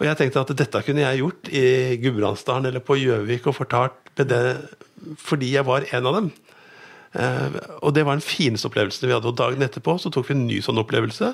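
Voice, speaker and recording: A man speaks at a fairly quick pace with vocal fry and ordinary pitch variation. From Norway, Lillestrøm. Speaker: newspaper editor. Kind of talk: casual chat.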